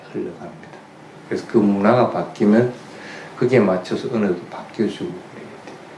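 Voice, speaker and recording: A man with a Gyeongsang accent and fairly low pitch, with audible room echo and noticeable background noise. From Gyeongsang region, Korea. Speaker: Buddhist monk giving a dharma talk. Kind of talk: sermon.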